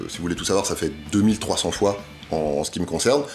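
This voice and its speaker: Backed by music in the background, a man talks with lively intonation. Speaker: health video creator. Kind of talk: explainer vlog. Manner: hesitant, many fillers.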